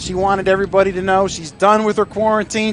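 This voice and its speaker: Against noticeable background noise, a high-pitched man with an American accent speaks in a monotone, flat way. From Northeast Ohio. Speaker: football coach, guest color commentator. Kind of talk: live sports broadcast chat.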